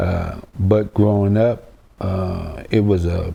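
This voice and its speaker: Here a man speaks with a very deep, low pitch and ordinary pitch variation. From South Carolina, Rock Hill. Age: 60s. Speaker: oral history interviewee. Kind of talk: life story interview. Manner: halting, many fillers.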